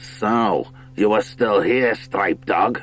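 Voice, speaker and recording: A man does a put-on character voice, raspy and medium in pitch. His intonation is monotone and flat, with clear music in the background. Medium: read story. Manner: sneering, commanding.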